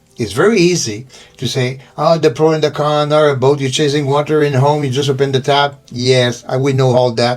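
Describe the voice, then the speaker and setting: Here a man talks at medium pitch and a fairly quick pace, with ordinary pitch variation. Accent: non-native. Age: 70s. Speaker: liveaboard sailor and author. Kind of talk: casual video monologue.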